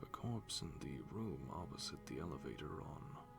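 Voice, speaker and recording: Whispering over music in the background. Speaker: voiceover practice reader. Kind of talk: ASMR wiki reading for sleep. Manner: soft-spoken.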